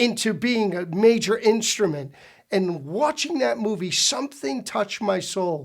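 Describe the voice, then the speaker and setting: A man with an American accent, high pitch, lively intonation and a moderate pace. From US Northeast, Providence, Rhode Island. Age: 60s. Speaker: pastor. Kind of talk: personal testimony.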